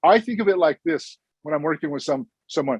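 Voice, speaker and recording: A man with an American accent speaks at a very fast pace in a high pitch with lively intonation. The sound is dry and close, with no echo. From Blackfeet reservation, northwest Montana. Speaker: clinical social worker. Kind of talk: conference talk.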